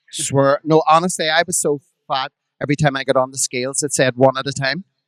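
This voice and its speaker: A man with a Belfast accent talks at a fairly quick pace in a fairly high pitch, his intonation fairly even. The sound is dry and close, with no echo. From Belfast, Northern Ireland. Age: 50s. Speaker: drag performer. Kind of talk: live podcast storytelling. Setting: stage with audience.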